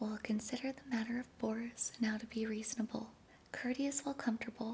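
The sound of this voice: A woman's fairly high voice at a fairly quick pace, slightly mellow in tone, with fairly even intonation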